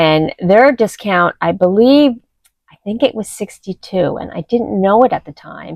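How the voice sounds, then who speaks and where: A woman of medium pitch speaks at a fairly slow pace, with big swings in loudness. The sound is dry and close, with no echo. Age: 60s. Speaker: lifestyle vlogger. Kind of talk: casual vlog talk to camera. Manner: conversational with hesitations.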